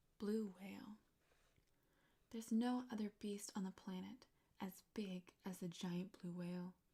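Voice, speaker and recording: The voice is soft-spoken. It leaves long, frequent pauses. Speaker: ASMR artist. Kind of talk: bedtime story reading. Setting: studio.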